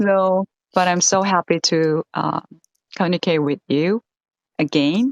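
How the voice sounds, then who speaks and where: With a Korean accent, a woman speaks at a fairly slow pace and a fairly low pitch, keeping her loudness very even between long, frequent pauses. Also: ordinary pitch variation, dry, close sound with no echo. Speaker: English teacher and learner. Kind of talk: casual conversation practice. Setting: live stream.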